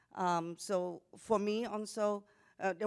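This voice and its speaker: A woman with a Vietnamese accent speaks in a monotone, flat intonation, in a dry, close sound with no echo on a very clean recording with a silent background. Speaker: panelist, Vietnamese immigrant. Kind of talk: panel discussion.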